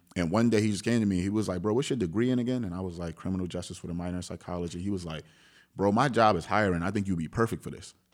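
This man talks at a very fast pace with a very deep, low pitch and ordinary pitch variation. The recording is very clean, with a silent background. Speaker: rapper. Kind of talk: casual interview chat.

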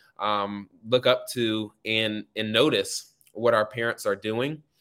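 With an American accent, a man speaks at a medium pitch with fairly even intonation. His is a plain, everyday voice. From North Carolina, Raleigh. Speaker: law student and youth advocate. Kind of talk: podcast interview.

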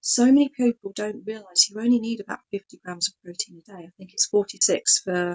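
With ordinary rises and falls in pitch, a woman talks at a moderate tempo. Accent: English. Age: 40s. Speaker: vegan speaker. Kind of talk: casual chat.

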